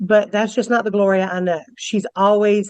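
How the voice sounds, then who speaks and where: A woman speaks at a fairly slow pace with a medium pitch. She has a plain, everyday voice. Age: 60s. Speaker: character witness. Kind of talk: court testimony.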